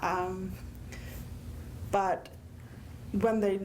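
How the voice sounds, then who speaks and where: A woman with an American accent speaks amid audible room echo. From Connecticut. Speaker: deaf panelist and teacher. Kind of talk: panel talk, personal account.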